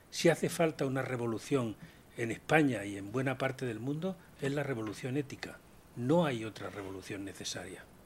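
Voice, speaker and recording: Speaking at a moderate pace, a man with a medium-pitched, somewhat breathy voice uses lively intonation. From Andalusia, Spain (Úbeda, Jaén). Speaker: panelist, business ethics speaker. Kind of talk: round table discussion.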